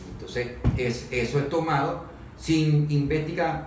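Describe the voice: There is audible room echo around this man's voice. His pitch is fairly high, with ordinary variation and a slightly mellow tone. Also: fairly slow pace.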